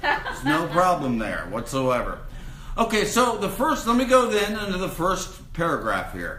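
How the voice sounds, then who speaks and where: A man talks at a moderate pace. Room echo is audible, and background noise is noticeable. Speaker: minister teaching a spiritual course. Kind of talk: lecture. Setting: room with live audience. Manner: loud.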